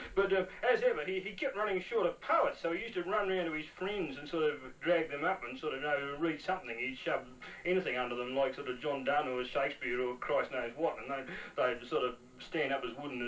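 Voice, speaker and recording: With noticeable background noise, a man in an Australian accent talks at a fairly quick pace, with a fairly high pitch and ordinary pitch variation. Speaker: performance poet. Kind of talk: storytelling interview. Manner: halting, many repetitions.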